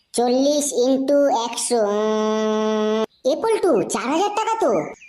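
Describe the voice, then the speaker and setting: A woman's cartoonish character voice, high-pitched, with lively intonation, a fairly slow pace and audible echo. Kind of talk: comic adult cartoon dialogue. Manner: hesitant, with the habitual filler 'um, e Paltu'.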